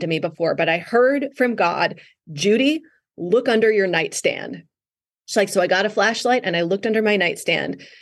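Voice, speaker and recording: A woman with an American accent has an unremarkable speaking voice, fairly high and lively in intonation, at a fairly quick pace against a quiet background. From Wisconsin, North Woods. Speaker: author. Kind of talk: interview.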